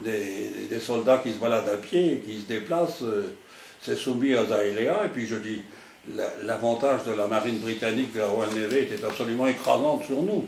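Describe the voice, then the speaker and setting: Moderate pace and ordinary pitch variation, with audible room echo and noticeable background noise. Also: man, medium pitch for a man. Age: 90s. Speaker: retired naval admiral. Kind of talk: interview. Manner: halting.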